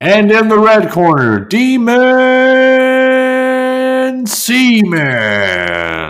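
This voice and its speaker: In a put-on character voice at an extremely high pitch, a man speaks at a very slow pace with hardly any pauses. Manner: loud dramatic shouting.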